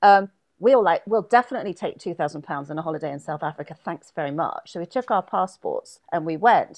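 A woman with an ordinary speaking voice, fairly low in pitch, at a fairly quick pace with lively intonation and big swings in loudness, over a quiet background. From London, England, moved to US at 12. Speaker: pop singer and songwriter. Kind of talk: interview.

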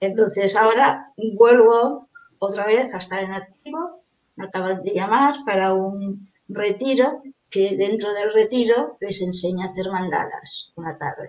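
A woman speaks at a fairly slow pace, with medium pitch and ordinary pitch variation. It is a plain, everyday voice. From Venezuela. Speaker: mandala artist. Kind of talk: interview.

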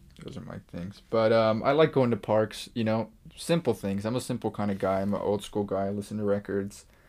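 With an American accent and a normal speaking voice, a man talks at a fairly quick pace with hardly any pauses, his fairly low pitch showing ordinary variation. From Los Angeles area, California (Eagle Rock). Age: 20s. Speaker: recording studio founder and producer. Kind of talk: casual interview chat. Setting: recording studio.

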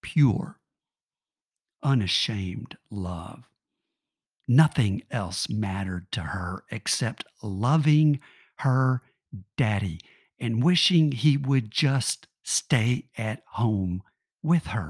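Very slow and somewhat breathy, the speech has lively intonation and long, frequent pauses, recorded very cleanly with a silent background and a dry, close sound with no echo. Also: man, medium pitch for a man. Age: 60s. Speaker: podcast host. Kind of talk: spoken reflective meditation.

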